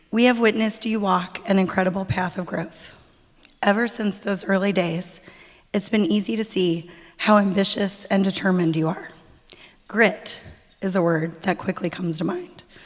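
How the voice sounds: A put-on character voice from a woman, raspy and gravelly, at medium pitch with fairly even intonation and a moderate pace.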